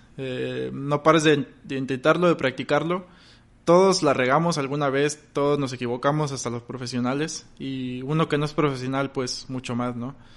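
An unremarkable speaking voice: a man with a fairly high pitch, fairly even intonation and a moderate pace. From Mexico, Victoria, Tamaulipas. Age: 20s. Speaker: goalkeeper content creator. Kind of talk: interview.

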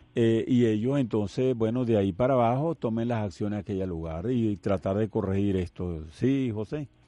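A man of medium pitch and dark, mellow tone speaks at a moderate pace with ordinary pitch variation and hardly any pauses. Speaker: radio host, retired navy vice admiral. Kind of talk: call-in radio show.

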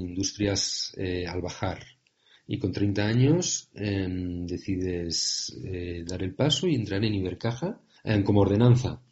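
Very slowly, a man talks in a fairly low register. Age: 40s. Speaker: podcast host, entrepreneur. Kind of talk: interview.

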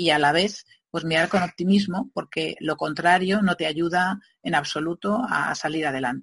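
A woman with an ordinary speaking voice and a fairly low pitch speaks at a moderate pace with ordinary pitch variation. The sound is dry and close, with no echo. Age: middle-aged. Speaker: legal marketing consultant. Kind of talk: interview.

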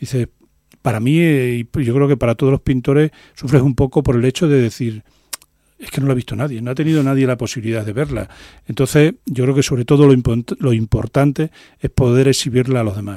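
The voice has a dark, mellow tone and fairly even intonation, moving at a fairly quick pace in a dry, close sound with no echo. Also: man, medium pitch for a man. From Extremadura, Spain. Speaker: painter. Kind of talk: radio interview. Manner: hesitant, many fillers.

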